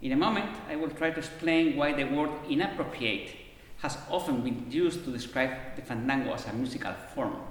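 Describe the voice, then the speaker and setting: Against noticeable background noise and audible room echo, a man speaks at a moderate pace with a fairly high pitch and ordinary pitch variation. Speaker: harpsichordist and presenter. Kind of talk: conference lecture. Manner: halting, with self-corrections.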